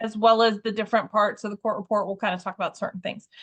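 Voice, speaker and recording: A woman's voice, bright and sharp in tone. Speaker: volunteer trainer. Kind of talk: training session. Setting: video call.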